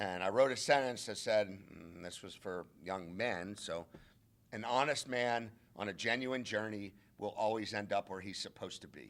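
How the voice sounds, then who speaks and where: A man speaks at a moderate pace in a fairly low pitch with ordinary pitch variation. He has an unremarkable speaking voice. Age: 60s. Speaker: college football head coach. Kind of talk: press conference.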